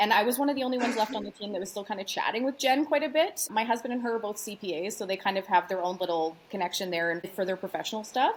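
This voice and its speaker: A very fast, bubbly delivery with lively intonation and hardly any pauses, over noticeable background noise. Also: woman, fairly high pitch for a woman. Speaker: wedding planner and event rental owner. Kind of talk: casual interview chat. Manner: loud.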